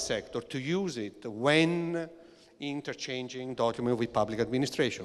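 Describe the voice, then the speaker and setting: A man with an Italian accent speaks at a moderate pace with lively intonation. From Italy. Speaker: EU official leading a regulation team, engineer. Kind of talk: panel discussion. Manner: hesitant, many fillers.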